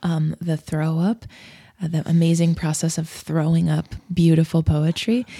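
In an American accent, a woman with a fairly low pitch and a dark, mellow, somewhat breathy tone speaks at a moderate pace with fairly even intonation, the sound dry and close with no echo. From Nebraska, US Midwest. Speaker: singer-songwriter, ukulele musician. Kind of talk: casual interview. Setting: in person at a ukulele festival.

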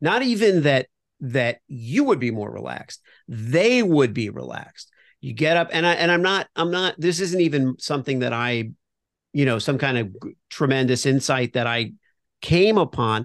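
A normal speaking voice from a man with an American accent, fairly high in pitch with lively intonation, at a moderate pace against a quiet background. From Florida, US. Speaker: brand voice consultant and comedian. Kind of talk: casual interview.

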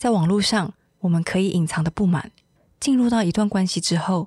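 A woman speaks at a medium pitch and moderate pace, somewhat breathy, with lively intonation. The recording is very clean, the background silent. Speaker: podcast host and reporter. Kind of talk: scripted narration.

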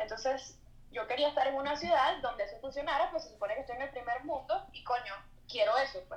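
A woman talks at a very fast pace in a high pitch, with ordinary pitch variation and big swings in loudness. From Venezuela. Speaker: visual artist. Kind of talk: casual interview chat. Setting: remote video call.

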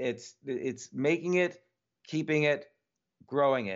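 This man has an ordinary speaking voice, pitched fairly high for a man. His intonation is lively. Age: 50s. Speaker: entrepreneur and author. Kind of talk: interview.

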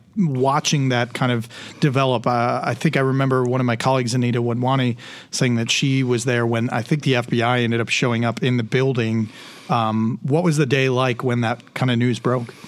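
A plain, everyday voice at a fairly quick pace, with very even loudness and fairly even intonation. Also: man, medium pitch for a man. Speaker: podcast host. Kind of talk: casual interview chat.

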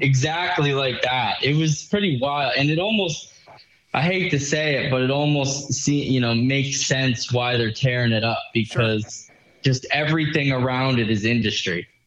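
A man's medium-pitched voice with ordinary pitch variation and very even loudness, at a moderate pace, with audible room echo and noticeable background noise. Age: 20s. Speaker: listener and racing fan. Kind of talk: casual chat. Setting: phone call.

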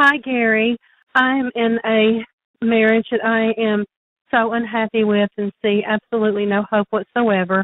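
A woman talks at a fairly slow pace in a fairly high pitch, her intonation monotone and flat. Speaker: caller. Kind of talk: recorded voicemail question. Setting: phone call.

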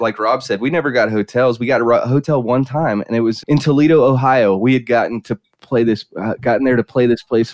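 An ordinary speaking voice, this man's medium-pitched delivery comes with an American accent, a fairly quick pace, and fairly even intonation, in a dry, close sound with no echo. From South Carolina. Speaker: drummer. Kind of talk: casual chat.

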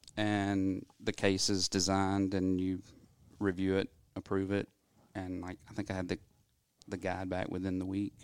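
At a moderate pace and in a Southern US accent, the speaker keeps a monotone, flat intonation broken by long, frequent pauses. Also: man, very deep, low pitch for a man. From US South, Athens, Georgia. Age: 40s. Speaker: dentist. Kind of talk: interview.

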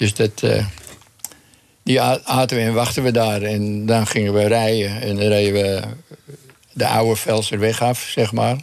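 Delivery is fairly slow and monotone, with flat intonation and very even loudness. Long, frequent pauses break it up, and there is noticeable background noise. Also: man, fairly low pitch for a man. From Amsterdam, Netherlands. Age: 80s+. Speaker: retired champion cyclist. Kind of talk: radio interview.

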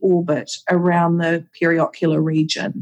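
A woman speaks with a New Zealand accent. Her pace is fairly slow. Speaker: aesthetic nurse and educator. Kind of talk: casual interview chat. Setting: video call.

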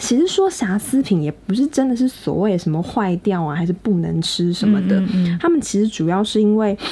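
A woman speaks at a fairly quick pace with hardly any pauses, her pitch medium and her intonation lively. Noticeable background noise sits behind her. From Taiwan. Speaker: podcast co-host. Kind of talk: casual chat.

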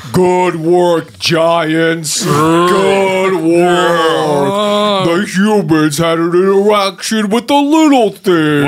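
The speaker uses a put-on character voice at a middle pitch and a very slow pace. Clear background noise can be heard.

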